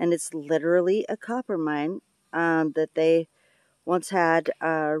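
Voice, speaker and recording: The speech is very slow, with a dry sound, no echo and a quiet background. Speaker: rock hunting vlogger. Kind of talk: casual vlog chat. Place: open country. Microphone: phone near.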